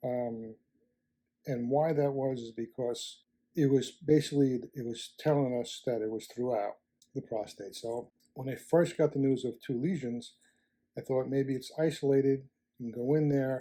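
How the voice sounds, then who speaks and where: At a moderate pace, a man with a medium pitch speaks in a normal speaking voice, his intonation fairly even. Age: 60s. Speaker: prostate cancer survivor sharing experience. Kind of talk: testimony.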